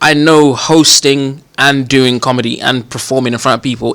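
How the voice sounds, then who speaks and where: Over noticeable background noise, a man with a London accent talks at a medium pitch with fairly even intonation. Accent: London multicultural English. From Northwest London, England. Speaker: comedian. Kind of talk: casual interview.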